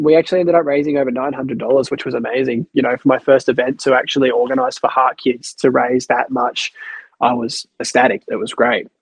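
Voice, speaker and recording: A man with an Australian accent and a medium pitch speaks at a fairly quick pace with fairly even intonation. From Tasmania, Australia (Queenstown). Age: 20s. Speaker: heart patient and youth mentor. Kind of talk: interview.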